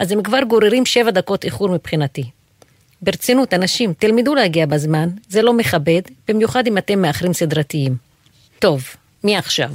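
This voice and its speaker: A woman at medium pitch with very wide pitch swings and very even loudness, moderate in pace with long, frequent pauses, in a dry, close sound with no echo. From Israel, Haifa. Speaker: professor. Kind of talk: personal monologue.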